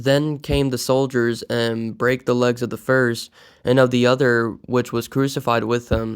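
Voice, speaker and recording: On a very clean recording with a silent background, a man of medium pitch speaks fairly slowly in a monotone, flat intonation. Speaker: Bible reading channel host. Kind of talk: reading aloud scripture. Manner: stutter; halting, repeats words.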